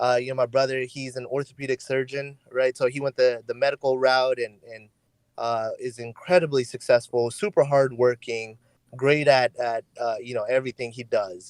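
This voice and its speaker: In a Californian accent, a man speaks in a medium pitch with big swings in loudness. The recording is dry and close, without echo. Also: fairly even intonation, moderate pace. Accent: California English. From California, Hayward (Bay Area). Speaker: content creator. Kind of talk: podcast interview. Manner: halting, many fillers and repeats.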